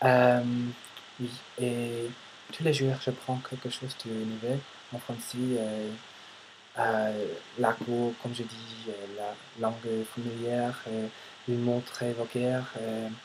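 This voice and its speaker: Over noticeable background noise, a man talks very slowly at a medium pitch in a flat monotone, with long, frequent pauses. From United States. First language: English (speaking French). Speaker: vlogger, language learner. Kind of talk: casual vlog monologue. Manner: halting, many hesitations.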